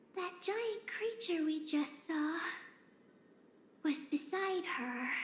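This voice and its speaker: Someone uses a put-on character voice with a high pitch. The delivery is very slow. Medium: video game. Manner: brief, calm, matter-of-fact.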